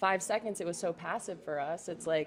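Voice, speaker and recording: A woman speaks at a medium pitch with an American accent. She keeps a moderate pace. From US South, Atlanta. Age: 20s. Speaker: museum worker. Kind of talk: casual chat. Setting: storefront window pop-up. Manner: animated.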